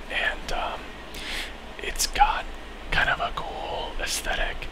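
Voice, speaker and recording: Someone whispers at a very slow pace. Noticeable background noise runs under the voice. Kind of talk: ASMR video game talk. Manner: whispered.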